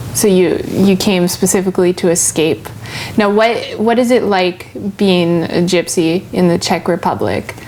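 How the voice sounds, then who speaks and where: Background noise is noticeable as a woman speaks at a fairly slow pace. Her pitch is medium, and her loudness stays very even. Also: ordinary pitch variation. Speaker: TV show host. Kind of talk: interview questions.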